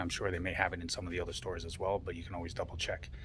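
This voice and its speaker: A man talks quietly in a very deep, low voice with fairly even intonation. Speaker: collectibles reviewer. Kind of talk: unboxing video. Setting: in a toy store during business hours. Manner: quiet, voice kept down. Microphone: poor sound.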